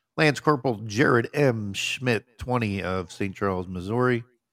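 On a very clean recording with a silent background, a man speaks fairly slowly. He has an ordinary speaking voice, fairly low in pitch with ordinary pitch variation. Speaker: podcast host. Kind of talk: casual chat.

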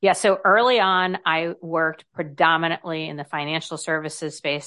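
Speaking at a fairly slow pace, a woman has an unremarkable speaking voice, fairly low in pitch with ordinary pitch variation. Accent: General American. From US. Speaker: author and confidence speaker. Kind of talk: interview chat.

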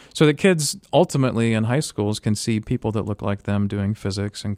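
On a very clean recording with a silent background and a dry, close sound with no echo, a man with a fairly low pitch and ordinary pitch variation speaks in a plain, everyday voice. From US South, Florida (Tampa area). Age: 30s. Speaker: physics professor. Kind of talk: interview. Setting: studio.

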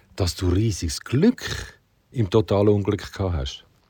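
A man's fairly low, somewhat breathy voice with a dark, mellow tone, at a very slow pace. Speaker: podcast host. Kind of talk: interview.

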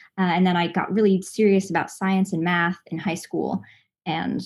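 A somewhat breathy voice with an American accent moves at a moderate pace. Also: woman. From Los Angeles, family from Southern Indiana. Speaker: voice actress. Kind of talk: casual interview.

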